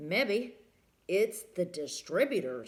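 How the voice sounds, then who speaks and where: This is a put-on character voice. It has very wide pitch swings. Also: woman, medium pitch for a woman. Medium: read story. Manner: terse, plainspoken.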